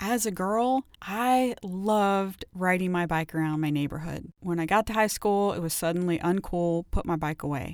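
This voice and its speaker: A woman with an unremarkable speaking voice talks at medium pitch and a moderate pace on a very clean recording with a silent background. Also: ordinary pitch variation. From Ohio, US Midwest. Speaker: wellness podcast host and author. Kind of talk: solo wellness podcast monologue. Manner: frequent laughter, upbeat.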